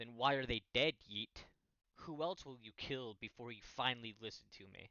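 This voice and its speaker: Man in a put-on character voice at a moderate pace. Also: medium pitch for a man. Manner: sinister, accusatory.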